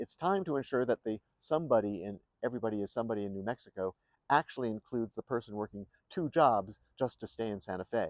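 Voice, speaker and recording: A man with an American accent talks at a very fast pace in a medium pitch, his intonation lively and the sound dry and close with no echo. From New York State. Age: 60s. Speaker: independent presidential candidate. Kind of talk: campaign speech. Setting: outdoors in front of the state capitol. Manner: formal.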